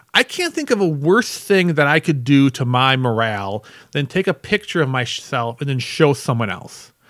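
Man with an unremarkable speaking voice at fairly high pitch, moderate pace, lively intonation and hardly any pauses, in a dry, close sound with no echo. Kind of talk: casual chat. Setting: live podcast recording.

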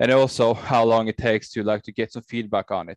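In a Norwegian accent, a man speaks fairly quickly with a flat, monotone delivery. The sound is dry and close with no echo, over a quiet background. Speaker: VR technology business developer. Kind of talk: interview. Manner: halting, many fillers.

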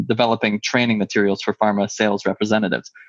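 Dry and close, with no echo, the sound carries a man's voice. His pitch is fairly low. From Quebec. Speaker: pharmaceutical market access consultant. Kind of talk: casual interview.

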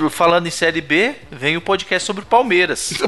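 A man's fairly high voice proceeds at a moderate pace. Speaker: podcast co-host. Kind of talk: casual chat.

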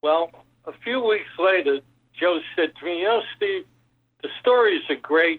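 Speaking with an American accent, the voice moves at a fairly slow pace with ordinary pitch variation. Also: man. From Brooklyn, New York. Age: 80s+. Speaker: businessman, book subject. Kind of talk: interview storytelling.

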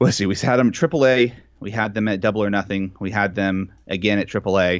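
A man talks in a normal speaking voice with a fairly low pitch. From Texas. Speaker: wrestling podcaster. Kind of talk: casual chat.

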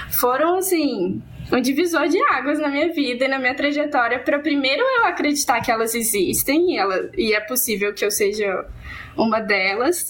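Lively intonation carries a moderately paced voice over noticeable background noise. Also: woman. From Minas Gerais, Brazil (Barbacena). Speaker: social science researcher. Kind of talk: personal testimony in panel discussion.

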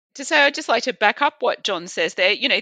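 Bright and sharp in tone, a woman speaks with an Australian accent and lively intonation. The sound is dry and close with no echo, over a quiet background. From rural Australia. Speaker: physician and health policy researcher. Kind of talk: podcast interview.

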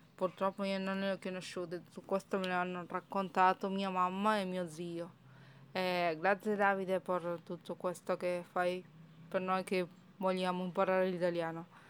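A woman's medium-pitched voice with a Spanish accent, fairly slow and monotone, on a very clean recording with a silent background. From Argentina, Córdoba. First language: Spanish (speaking Italian). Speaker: language learner. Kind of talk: recorded testimony.

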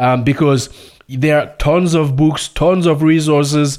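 In a French accent, a man speaks at a moderate pace with ordinary pitch variation. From Burkina Faso. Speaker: radio host. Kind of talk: radio show monologue. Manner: halting.

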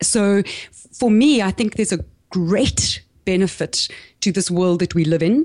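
Her South African accent carries lively intonation as the woman speaks at a fairly slow pace and medium pitch, with long, frequent pauses. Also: very even loudness. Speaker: small business podcaster and marketing coach. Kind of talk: interview.

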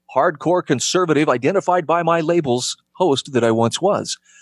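Speaking in an American accent, a man uses a normal speaking voice. His pace is moderate and his pitch variation ordinary. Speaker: radio host. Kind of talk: casual interview chat.

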